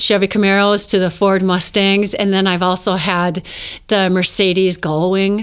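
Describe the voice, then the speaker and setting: A woman speaks at a moderate pace and medium pitch with monotone, flat intonation and very even loudness. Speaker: model and actress. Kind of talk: casual interview chat. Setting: live-streamed studio recording.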